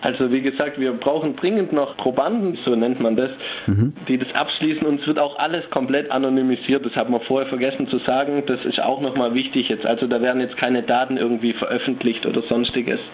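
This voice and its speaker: Against noticeable background noise, a speaker with a Swabian accent keeps a very even loudness and fairly even intonation, hardly pausing at all. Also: man, medium pitch for a man. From Stuttgart, Germany. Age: 20s. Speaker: psychology student. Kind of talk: phone interview. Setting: phone call.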